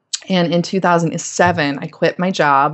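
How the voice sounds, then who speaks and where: A woman with an American accent talks at a moderate pace, with vocal fry. Her pitch is fairly low, with ordinary variation. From US South, North Carolina (Winston-Salem). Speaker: career and leadership coach. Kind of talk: interview conversation. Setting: call. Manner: confident.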